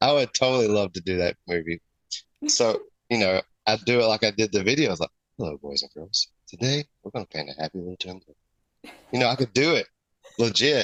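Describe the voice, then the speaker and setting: A man with a Southern US accent at medium pitch, fairly quick in pace yet with long, frequent pauses, in a dry, close sound with no echo. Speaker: custom airbrush artist. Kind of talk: casual chat.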